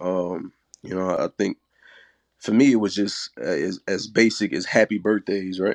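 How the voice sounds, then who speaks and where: The speaker has a Southern US accent and a moderate pace. The sound is dry and close with no echo, and the background is quiet. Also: man. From Mississippi, US South. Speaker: guest, father. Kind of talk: casual chat.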